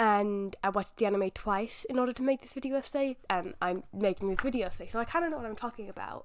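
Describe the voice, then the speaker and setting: The speaker talks at a very fast pace with hardly any pauses, ordinary pitch variation, and big swings in loudness. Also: woman, fairly high pitch for a woman. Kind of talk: video essay narration. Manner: casual, conversational.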